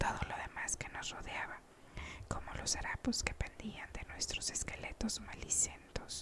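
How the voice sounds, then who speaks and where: Noticeable noise sits behind the voice. Someone whispers throughout. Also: fairly slow pace. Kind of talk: whispered audiobook reading. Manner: whispered, soft-spoken.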